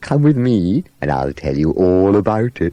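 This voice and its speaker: In a put-on character voice, a man speaks at a moderate pace. His pitch sits fairly low. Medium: read story. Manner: enthusiastic, fussy.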